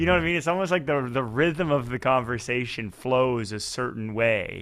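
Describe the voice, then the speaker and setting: This man has an ordinary speaking voice at medium pitch. His intonation is lively and his pace moderate. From Fredericton, New Brunswick, Canada. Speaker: podcast host and musician. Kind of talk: casual chat. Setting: video call.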